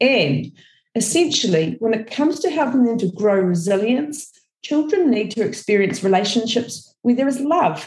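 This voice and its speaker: A woman's fairly high, somewhat breathy voice with a New Zealand accent, lively intonation and a moderate pace. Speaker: early childhood educator. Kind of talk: podcast talk.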